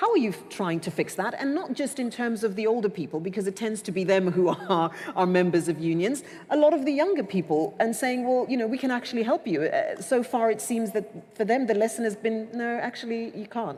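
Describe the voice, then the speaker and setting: Over noticeable background noise, a woman with a fairly high pitch talks fairly quickly, her intonation lively. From South Africa. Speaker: panel moderator. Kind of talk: panel discussion.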